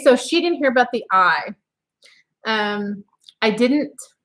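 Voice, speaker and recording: Loud and high-pitched, a woman speaks at a fairly slow pace with lively intonation in a very clean recording with a silent background. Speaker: homesteading channel co-host. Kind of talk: casual live stream chat.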